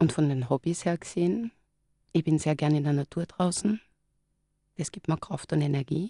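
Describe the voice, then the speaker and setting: A woman with a very deep, low pitch and a somewhat breathy voice speaks at a moderate pace with ordinary pitch variation and long, frequent pauses. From Styria, Austria. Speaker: clinical psychologist. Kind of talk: live radio interview. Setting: radio studio.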